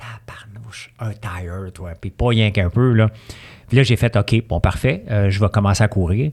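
A fairly low, somewhat breathy male voice at a fairly slow pace, with big swings in loudness, in a very clean, dry, close recording with no echo and a silent background. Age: 50s. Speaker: entrepreneur. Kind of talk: casual chat.

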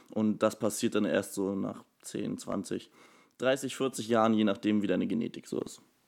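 The speech moves at a fairly slow pace. The intonation is monotone and flat. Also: man, fairly low pitch for a man, very clean recording, silent background. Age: 20s. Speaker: personal trainer and nutrition coach. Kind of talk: casual interview. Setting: studio, sitting next to host.

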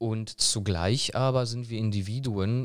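This man has a plain, everyday voice with fairly even intonation. He talks at a fairly slow pace on a very clean recording with a silent background. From Germany (born in Poland, moved at about four). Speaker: German teacher. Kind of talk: interview.

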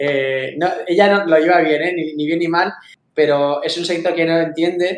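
Delivery is fairly slow, with monotone, flat intonation. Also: man, high pitch for a man. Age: 40s. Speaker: esports club founder and executive. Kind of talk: interview.

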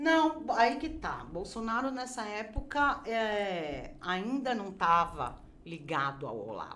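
A woman with a bright, sharp tone and a fairly high pitch speaks very slowly, her pitch swinging very widely, with audible room echo. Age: 50s. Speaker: graphic designer and crafts teacher. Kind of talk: casual interview chat.

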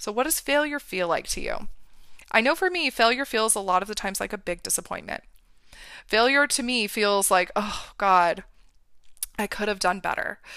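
A woman speaks at a moderate pace in a fairly high, bright, sharp voice, with an energetic tone and lively intonation. She leaves long, frequent pauses, and the recording is very clean with a silent background. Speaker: podcast host and confidence coach. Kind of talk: solo podcast monologue.

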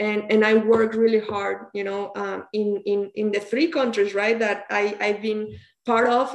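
At a moderate pace, a woman talks with a Spanish accent. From Mexico, near Toluca. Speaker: university soccer coach. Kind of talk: interview. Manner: halting.

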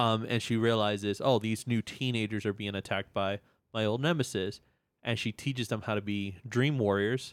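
Against a silent background in a very clean recording, a man speaks in a normal speaking voice. His pitch is fairly low, his intonation fairly even, and his pace moderate. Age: 30s.

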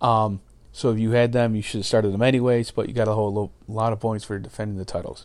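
A man's medium-pitched voice, very fast and monotone, with flat intonation. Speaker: fantasy wrestling podcast host. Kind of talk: solo podcast commentary.

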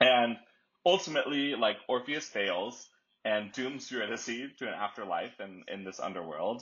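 A man's plain, everyday voice at a medium pitch, moderate in pace, with big swings in loudness. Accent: American. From Dallas, Texas. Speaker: podcast host. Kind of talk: casual chat.

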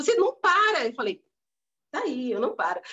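A woman is speaking. Her pitch swings very widely. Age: 40s. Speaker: motivational speaker and entrepreneur. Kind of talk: interview. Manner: animated.

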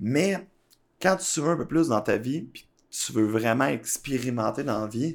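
Fairly slow speech from a man with lively intonation, on a very clean recording with a silent background. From Quebec, Laval and Blainville. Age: 30s. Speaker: entrepreneur. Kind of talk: interview. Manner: halting.

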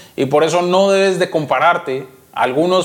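A man talks at a moderate pace in an ordinary speaking voice. His intonation is fairly even. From Colombia, Cali. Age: 20s. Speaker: trader and trading educator. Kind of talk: interview.

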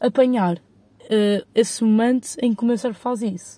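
A woman's voice comes through somewhat breathy, with a dark, mellow tone. The sound is dry and close, with no echo. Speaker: podcaster. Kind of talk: casual solo monologue. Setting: in a parked car.

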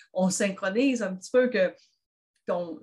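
A woman of medium pitch speaks with a Quebec accent. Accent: noticeable Quebec French. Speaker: grief counsellor and therapist. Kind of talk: casual chat.

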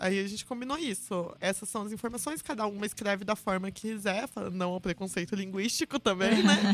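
A woman talking at a fairly quick pace with hardly any pauses, noticeable background noise behind her. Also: medium pitch for a woman, ordinary pitch variation. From São Paulo state countryside, Brazil. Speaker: metal vocalist and music business professional. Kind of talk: casual chat.

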